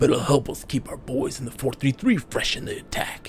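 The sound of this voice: A raspy put-on character voice from a man at a moderate pace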